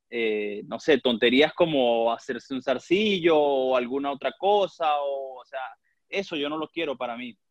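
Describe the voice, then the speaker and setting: A man talks at a fairly slow pace. His pitch is fairly high, with ordinary variation. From Venezuela (Valera, Trujillo). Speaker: professional footballer. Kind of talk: interview. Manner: halting, with frequent word repetitions.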